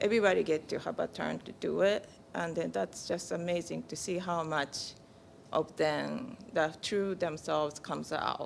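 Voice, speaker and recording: A woman speaks with a Japanese accent. Her pace is moderate. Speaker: peace camp parent and counselor. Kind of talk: congregation sharing. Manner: halting.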